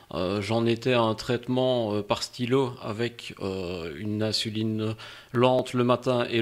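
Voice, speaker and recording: The speaker is a man with a medium pitch. His pitch varies in an ordinary way. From Belgium, Liège. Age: 40s. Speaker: diabetic patient, insulin pump user. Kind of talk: casual interview. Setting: recorded podcast.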